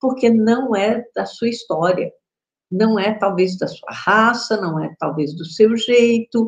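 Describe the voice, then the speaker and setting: A woman speaks very slowly in a somewhat breathy, fairly high voice, with ordinary pitch variation and big swings in loudness. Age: 60s. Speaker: spiritual teacher. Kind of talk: casual chat. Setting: live stream.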